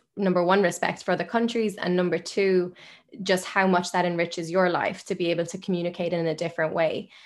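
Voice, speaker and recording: A woman speaks in monotone, flat intonation on a very clean recording with a silent background. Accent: Irish. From Ireland, Limerick. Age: 20s. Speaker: journalist and media founder. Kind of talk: podcast interview.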